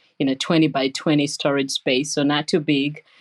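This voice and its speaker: A woman speaks with a Ugandan accent against a quiet background. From Uganda, Entebbe. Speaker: nurse scientist, professor. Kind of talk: interview.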